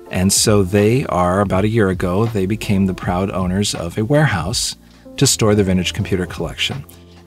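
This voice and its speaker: A man's fairly low voice, dry with no echo, over faint music in the background. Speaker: video host. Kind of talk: casual vlog chat. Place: home room.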